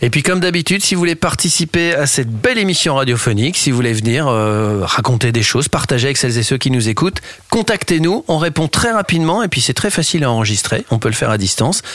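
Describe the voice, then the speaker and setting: Amid noticeable background noise, a man talks at a very fast pace with hardly any pauses, very even loudness and very wide pitch swings. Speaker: radio host. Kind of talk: casual chat. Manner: animated.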